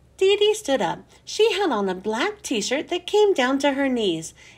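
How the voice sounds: The voice is a natural reading voice.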